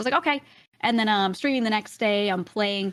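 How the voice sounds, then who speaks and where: A woman speaks with a slight Brooklyn accent. The recording is very clean, with a silent background. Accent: Brooklyn accent, slight in normal speech. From US Northeast, Brooklyn, New York. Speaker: streamer. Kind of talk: casual chat.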